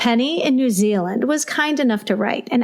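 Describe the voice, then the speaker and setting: Over noticeable background noise, a woman with a Midwestern accent speaks at a moderate pace with lively intonation. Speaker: school librarian and podcast host. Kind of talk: podcast intro, reading listener mail.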